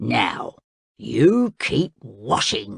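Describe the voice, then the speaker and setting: This is a growling, put-on character voice. It sits at a low-to-middle pitch. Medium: read story. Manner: playful, impish.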